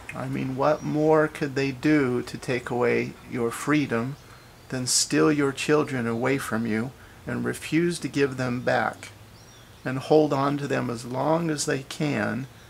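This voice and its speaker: Speaking fairly slowly, a man keeps his intonation fairly even despite noticeable background noise. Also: medium pitch for a man. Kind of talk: interview questions and commentary. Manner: impassioned.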